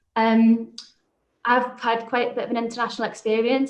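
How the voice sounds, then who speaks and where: A woman talks with a Liverpool accent at a fairly quick pace. Her pitch is fairly high. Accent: Liverpool (Scouse). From Liverpool, England. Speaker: business manager and startup founder. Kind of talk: panel discussion.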